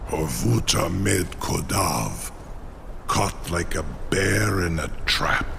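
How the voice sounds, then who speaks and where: In a put-on character voice, a man speaks at a very slow pace with a very deep, low pitch over loud background noise. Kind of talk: archaic, grandiloquent. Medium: machinima. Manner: formal, mixes dragon-tongue words into speech.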